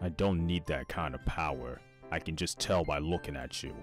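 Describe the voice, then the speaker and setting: A man uses a put-on character voice at a very deep, low pitch. Music plays clearly in the background. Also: moderate pace. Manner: gentle, concerned.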